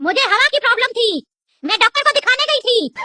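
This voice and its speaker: A female-sounding, cartoonish character voice rattles along very fast at an extremely high pitch. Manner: insolent, taunting.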